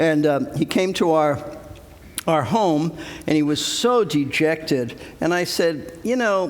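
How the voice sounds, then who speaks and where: With noticeable background noise behind him, a man speaks at a high pitch with very wide pitch swings. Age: 70s. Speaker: pastor. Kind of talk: interview conversation.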